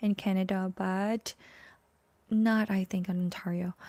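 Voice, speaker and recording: A woman's medium-pitched, dark, mellow voice with a Filipino accent, monotone and flat, at a fairly slow pace, in a dry, close sound with no echo. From Philippines. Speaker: vlogger. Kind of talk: live stream chat. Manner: halting.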